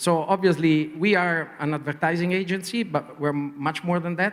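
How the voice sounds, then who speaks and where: A man with a strong Italian accent and ordinary pitch variation. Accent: heavy Italian. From Italy. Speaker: advertising executive. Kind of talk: panel interview. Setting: conference panel. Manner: hesitant, many fillers.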